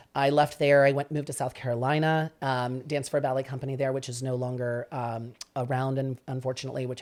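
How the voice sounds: A man's medium-pitched, slightly mellow voice, fast, with few pauses and little pitch movement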